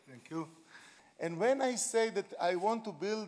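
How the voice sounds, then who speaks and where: With an Israeli accent, a man talks at a high pitch with lively intonation. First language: Hebrew. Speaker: education pioneer. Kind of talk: conference speech; video appeal. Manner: halting.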